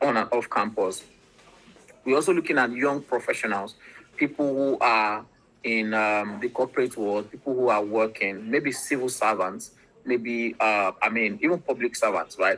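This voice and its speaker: A Nigerian accent at a moderate pace. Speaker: startup representative presenting a platform. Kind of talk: online presentation.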